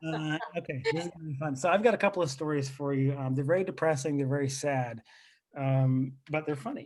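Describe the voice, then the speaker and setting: Fairly quick and fairly even in intonation, a man speaks in an unremarkable speaking voice at a fairly high pitch. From Lebanon, left at age three, raised in US. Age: 30s. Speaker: comedian. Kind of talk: stand-up. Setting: video call.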